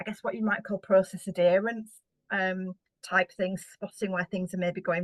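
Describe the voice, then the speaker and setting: In a British accent, a woman speaks at medium pitch. Her pace is fairly quick. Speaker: housing association director. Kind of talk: conference keynote presentation. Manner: fast.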